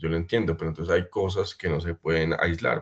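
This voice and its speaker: A man speaks against a quiet background. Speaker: pump brand representative. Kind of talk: webinar presentation. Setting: online webinar. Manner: fast.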